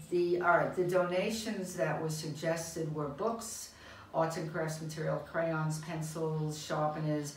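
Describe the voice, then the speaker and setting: A woman's very deep, low voice with an American accent, fairly even intonation and a fairly slow pace, over audible room echo and noticeable background noise. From US, New York. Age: 70s. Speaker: volunteer teacher. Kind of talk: testimonial interview. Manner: halting, many fillers.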